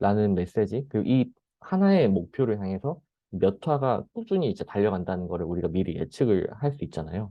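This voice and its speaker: A man with a fairly low voice talks fairly quickly, his intonation lively. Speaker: presenter. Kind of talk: lecture. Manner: fast.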